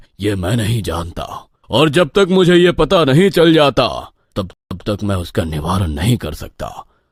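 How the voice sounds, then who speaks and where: Recorded very cleanly against a silent background, a man performs a put-on character voice. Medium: audio drama. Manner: authoritative, fatherly.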